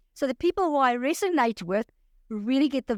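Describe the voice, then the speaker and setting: Lively intonation in a very clean recording, silent in the background, with a dry, close sound and no echo. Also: woman. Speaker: life coach. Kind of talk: interview. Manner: energetic.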